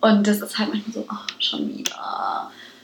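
Over noticeable background noise, a woman speaks at a moderate pace and medium pitch. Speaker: podcast co-host. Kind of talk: casual chat. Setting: studio-like home recording with two mics. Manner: animated. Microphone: poor recording quality, early episode.

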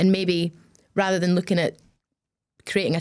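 A woman speaks at a moderate pace with a fairly low pitch. Vocal fry runs through her voice. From Glasgow, Scotland, raised partly in the Middle East. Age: 20s. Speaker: racing driver. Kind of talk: interview.

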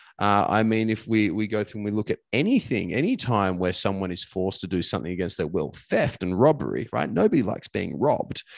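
A man with an Australian accent, fairly low in pitch with ordinary pitch variation, at a fairly quick pace against a quiet background. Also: hardly any pauses. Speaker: performance coach. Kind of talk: casual chat.

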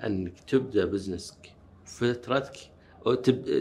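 A man is speaking. His pace is very slow. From Saudi Arabia, Riyadh (Najd). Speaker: journalist and publishing executive. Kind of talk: interview.

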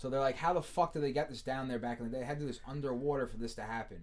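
At a very fast pace, a man with an American accent speaks at a medium pitch with ordinary pitch variation. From Long Island, New York. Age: 20s. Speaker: music producer. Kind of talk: casual chat.

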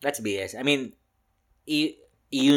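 This very clean recording, with a silent background, captures a man speaking. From Philippines, Manila (Sampaloc). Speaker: podcast guest. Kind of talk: casual chat. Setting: shared room, two mics for four people.

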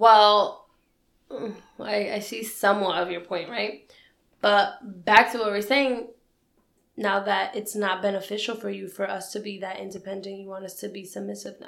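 Woman's medium-pitched voice with an American accent, vocal fry, fairly even intonation and big swings in loudness. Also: moderate pace. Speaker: podcast co-host. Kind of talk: casual conversation.

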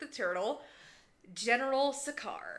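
Projecting a raised voice, a woman talks at a fairly slow pace with lively intonation. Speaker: podcast co-host. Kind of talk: casual podcast chat.

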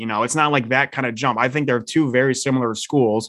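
A man at a medium pitch, with ordinary pitch variation, has an unremarkable speaking voice. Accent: American. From Michigan. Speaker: sports betting podcast co-host. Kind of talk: casual chat.

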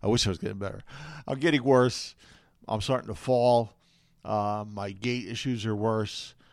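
A man at medium pitch and a moderate pace, with ordinary pitch variation and long, frequent pauses, on a very clean recording with a silent background. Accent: American. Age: 40s. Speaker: podcast host with multiple sclerosis. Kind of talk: personal story monologue. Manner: hesitant, many fillers.

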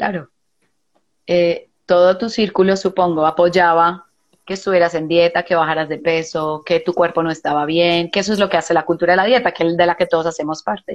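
Using a plain, everyday voice, a woman with a fairly low pitch talks at a fairly quick pace with fairly even intonation. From Colombia, Medellín. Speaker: psychologist and therapist. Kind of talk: casual chat. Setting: video call.

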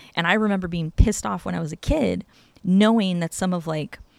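With a Californian accent, a woman talks at a fairly quick pace in a fairly low pitch. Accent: Californian American. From Los Angeles, Venice. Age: 40s. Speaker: florist. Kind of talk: casual interview. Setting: outdoors in a backyard.

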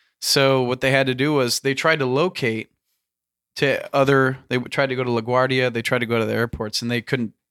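At a fairly quick pace, a plain, everyday voice keeps a fairly even intonation in a very clean recording with a silent background. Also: man. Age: 20s. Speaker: podcast host. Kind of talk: casual interview.

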